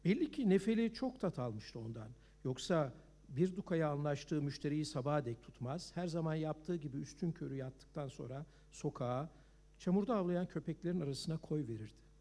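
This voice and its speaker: Using a plain, everyday voice, a man speaks at a fairly high pitch and a moderate pace with lively intonation. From Turkey. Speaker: novelist. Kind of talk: reading aloud.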